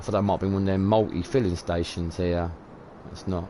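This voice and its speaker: This man has a very deep, low voice and a British accent, speaking at a moderate pace. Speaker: video game streamer. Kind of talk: live stream commentary. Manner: mumbling, repetitive; casual, rambling.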